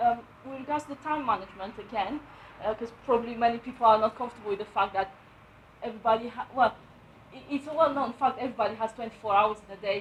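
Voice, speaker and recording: A woman with a Romanian accent, a fairly high pitch and ordinary pitch variation, at a very fast pace, over noticeable background noise. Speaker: property investor and letting agent. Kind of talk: book review talk at networking event. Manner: halting, many fillers.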